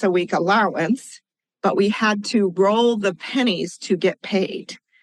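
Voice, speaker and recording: With an American accent and an ordinary speaking voice, a woman speaks fairly slowly at medium pitch with fairly even intonation, in a dry, close sound with no echo. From US West Coast, California Central Coast. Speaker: financial consultant and advocate. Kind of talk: interview.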